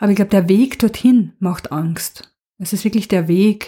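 A woman's somewhat breathy, dark, mellow tone with ordinary pitch variation, on a very clean recording with a silent background. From Austria, Burgenland. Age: 50s. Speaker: nurse. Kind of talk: interview.

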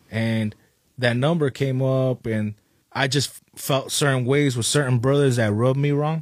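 A man with an American accent and a plain, everyday voice, medium pitch, fairly even intonation, moderate pace and big swings in loudness. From Oxnard, California. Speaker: rapper. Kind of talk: casual interview.

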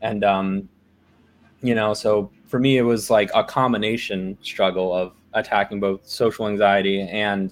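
With an American accent, a man speaks at a fairly slow pace. His fairly low voice keeps a monotone, flat intonation. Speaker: software engineer. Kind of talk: casual chat. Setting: video call.

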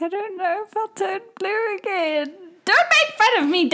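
This female-sounding, put-on character voice sits at an extremely high pitch. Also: moderate pace. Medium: actual play. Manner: whiny, sulky.

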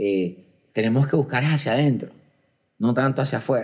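Medium-pitched man at a moderate pace with ordinary pitch variation. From Colombia. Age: 40s. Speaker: podcast host. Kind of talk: casual chat. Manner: halting, with frequent repetitions and fillers.

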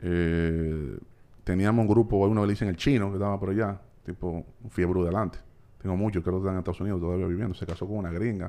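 Speaking at a very fast pace in a Dominican accent, a man has very deep, low pitch, a dark, mellow tone and fairly even intonation. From Dominican Republic, Santo Domingo. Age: 40s. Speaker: entrepreneur. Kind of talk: casual chat.

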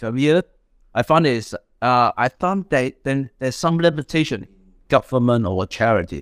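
In a very clean recording with a silent background and a dry, close sound with no echo, a man with a Hong Kong accent speaks at medium pitch and a moderate pace. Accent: Hong Kong Chinese-accented English. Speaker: startup founder. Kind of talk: interview conversation. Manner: halting, hesitant.

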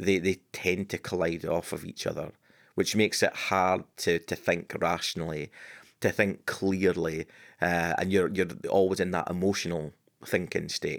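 Recorded very cleanly over a silent background, a man speaks at a moderate pace with a very deep, low pitch and monotone, flat intonation. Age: 40s. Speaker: storyteller and business owner. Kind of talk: interview. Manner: hesitant with frequent repetitions.

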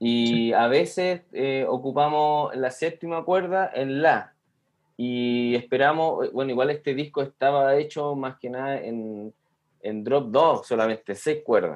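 This man has a fairly high pitch and ordinary pitch variation, and he talks at a fairly slow pace. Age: 30s. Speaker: metal guitarist, sound engineer. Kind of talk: casual interview. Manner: halting, repeats words.

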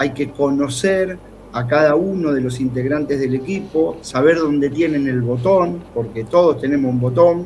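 Over noticeable background noise and audible room echo, a man speaks fairly slowly in a fairly high pitch with ordinary pitch variation. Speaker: basketball coach. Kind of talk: sports analysis talk show.

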